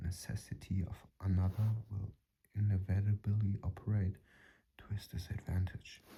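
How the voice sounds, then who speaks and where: The pace is moderate. Long pauses come often. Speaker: channel host reading a self-help book. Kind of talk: reading aloud.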